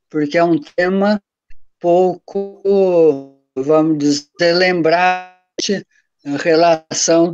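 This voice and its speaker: Over music in the background, a man speaks in a fairly high pitch with monotone, flat intonation. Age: 70s. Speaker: professor. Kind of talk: panel talk.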